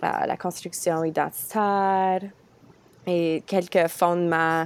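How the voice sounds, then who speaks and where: A woman's very slow, flat, monotone delivery. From Ontario. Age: 20s. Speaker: podcast host and student teacher. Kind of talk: casual interview.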